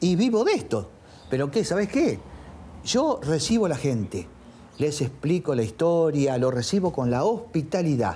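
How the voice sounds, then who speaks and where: With an Argentine accent, a man speaks at a fairly slow pace in a dark, mellow tone, his fairly high voice swinging very widely in pitch. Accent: Rioplatense Argentine Spanish. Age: 70s. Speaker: painter and bar owner. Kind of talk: casual interview. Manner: halting.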